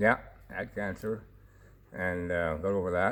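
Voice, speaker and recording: A man speaks with a Canadian prairie accent. His pitch is very deep and low. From Saskatchewan, Canada. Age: 70s. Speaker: sheepdog trialist and rancher. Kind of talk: interview. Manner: halting, many fillers.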